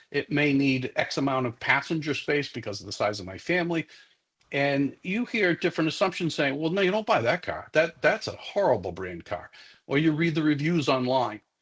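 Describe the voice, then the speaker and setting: Against a quiet background, a man with a Massachusetts accent and a fairly high pitch speaks at a fairly quick pace, his pitch swinging very widely. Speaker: security expert, former police officer. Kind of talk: professional development lecture. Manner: many fillers and repetitions.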